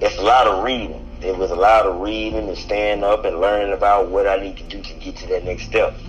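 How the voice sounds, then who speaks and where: With an American accent, a man speaks at a fairly quick pace with hardly any pauses and big swings in loudness while music plays in the background. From US South, Henry County near Atlanta, Georgia. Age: 30s. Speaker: rapper. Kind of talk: casual chat.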